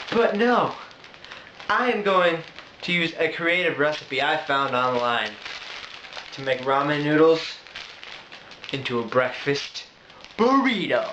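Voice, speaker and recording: Fairly high-pitched for a man, this male speaker moves at a fairly slow pace with very wide pitch swings and long, frequent pauses, amid noticeable background noise and audible room echo. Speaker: video blogger. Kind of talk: cooking tutorial. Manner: animated.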